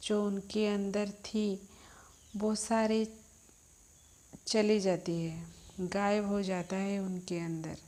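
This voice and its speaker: In a slight Odia accent, a woman with a medium pitch and a dark, mellow tone speaks in a monotone, flat way, leaving long, frequent pauses. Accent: slight Odia accent in Hindi. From Odisha, India. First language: Odia (speaking Hindi). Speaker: spiritual healer. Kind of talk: spiritual talk.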